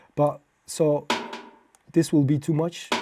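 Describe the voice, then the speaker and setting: The speaker has a non-native accent and talks at a very slow pace. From Belgium. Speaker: music producer. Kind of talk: tutorial. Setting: home studio. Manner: halting, many fillers.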